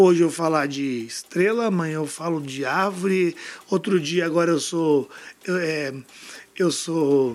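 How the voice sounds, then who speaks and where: Against noticeable background noise, a man with a high pitch speaks at a fairly slow pace with ordinary pitch variation. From Brasília, Brazil. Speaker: fashion brand founder. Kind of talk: interview.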